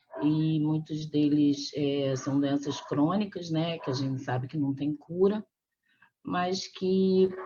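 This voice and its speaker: Over background music, a woman speaks very slowly at a very deep, low pitch. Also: ordinary pitch variation. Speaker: physician. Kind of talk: interview.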